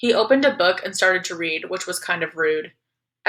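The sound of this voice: Lively intonation in an unforced reading voice, with quiet in the background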